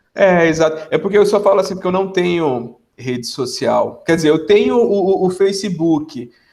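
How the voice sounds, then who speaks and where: The speaker has a Pernambuco accent and talks at a moderate pace with hardly any pauses. Pitch variation is ordinary. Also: man, high pitch for a man. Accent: Pernambuco (northeastern Brazilian). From Brazil, Pernambuco interior (Salgueiro). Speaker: biomedical scientist, academic. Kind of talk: casual podcast interview. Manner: hesitant, repeats words.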